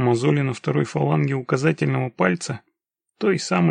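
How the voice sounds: Behind a natural reading voice, the background stays quiet.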